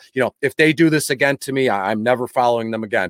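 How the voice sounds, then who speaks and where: A man talks in a plain, everyday voice with an American accent. His pace is fairly quick. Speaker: football fan. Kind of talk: casual sports chat.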